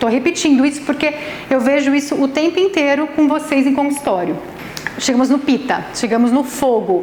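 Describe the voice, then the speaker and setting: In a space with audible room echo and noticeable background noise, a woman talks at a fairly quick pace with a high pitch, an animated tone and ordinary pitch variation. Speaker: nutritionist and Ayurvedic therapist giving a talk. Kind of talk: lecture. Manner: fast.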